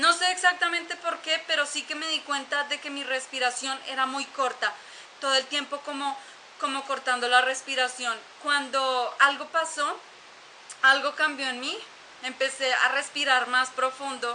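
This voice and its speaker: A woman projects a raised voice at a high pitch. Her pace is fairly slow and her intonation fairly even. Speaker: YouTuber sharing personal story. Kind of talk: personal testimony monologue. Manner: halting, many fillers.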